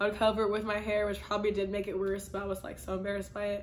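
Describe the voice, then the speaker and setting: A woman speaks at a medium pitch with a flat, monotone delivery. The room echo is clearly audible. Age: 20s. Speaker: YouTuber. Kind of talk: casual Q&A vlog. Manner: casual, filler-heavy.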